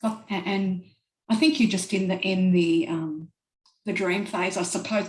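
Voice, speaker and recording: A woman speaks at a moderate pace and medium pitch. Her voice is somewhat breathy. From Australia. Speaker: traveler. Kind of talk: casual interview. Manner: hesitant, many fillers.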